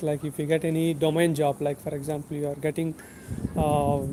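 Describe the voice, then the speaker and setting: Against noticeable background noise, a man talks at a moderate pace in a fairly high pitch. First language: Telugu. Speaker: YouTube tech educator. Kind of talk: livestream chat with viewers. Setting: outdoors, walking.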